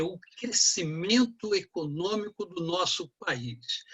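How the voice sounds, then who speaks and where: A man talks with lively intonation. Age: 60s. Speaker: economics professor. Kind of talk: lecture.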